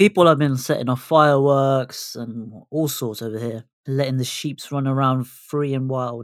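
Someone with a British accent speaks with hardly any pauses and fairly even intonation. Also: man, medium pitch for a man, moderate pace. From England, Bengali heritage. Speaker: podcast co-host. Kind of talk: casual chat.

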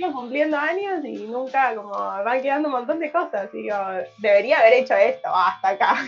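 The speech moves at a fairly quick pace with lively intonation, and noticeable background noise is present. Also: woman, high pitch for a woman. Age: 20s. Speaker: radio host. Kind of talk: casual chat.

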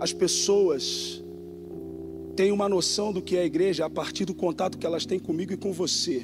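Music in the background behind a man speaking at a medium pace. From Rio de Janeiro, Brazil. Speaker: pastor. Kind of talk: sermon. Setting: church.

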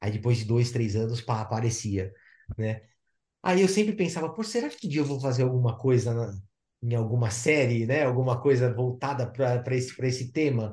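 At a moderate pace, a man speaks in a medium pitch with a dark, mellow, somewhat breathy tone and ordinary pitch variation. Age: 50s. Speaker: underwater photographer. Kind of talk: casual chat.

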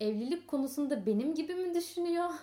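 A woman's dark, mellow voice with very wide pitch swings. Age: 20s. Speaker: podcast guest. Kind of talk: casual chat.

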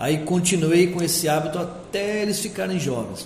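With noticeable background noise and audible room echo, the talking proceeds at a moderate pace and varies in pitch in an ordinary way. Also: man. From interior of São Paulo state, Piracicaba. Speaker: book publisher. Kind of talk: radio interview.

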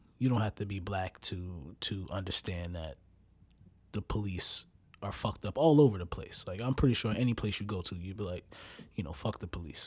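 Somewhat breathy, a man with a fairly low pitch speaks at a fairly quick pace. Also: ordinary pitch variation. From United States. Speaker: podcast host. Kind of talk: casual monologue. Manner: halting, many fillers.

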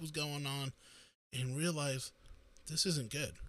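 Speaking at a moderate pace, a man has a normal speaking voice with an American accent. His pitch varies in an ordinary way. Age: 40s. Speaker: podcaster. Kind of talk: solo political commentary. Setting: live stream.

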